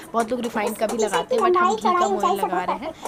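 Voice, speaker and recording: A woman speaks at a very fast pace. Noticeable background noise sits behind her. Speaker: vlogger. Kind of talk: voice-over narration.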